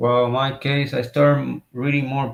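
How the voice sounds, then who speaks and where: A man with a Spanish accent speaks at a fairly slow pace in a monotone, flat intonation. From Puerto Rico. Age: 30s. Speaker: interviewer and poet. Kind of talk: interview. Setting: video call livestream. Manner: halting.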